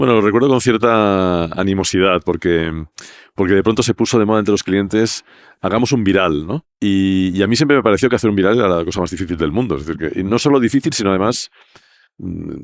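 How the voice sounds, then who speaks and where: A man with a fairly low pitch and ordinary pitch variation, talking at a very fast pace on a very clean recording with a silent background. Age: 60s. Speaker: advertising creative director. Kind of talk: podcast interview.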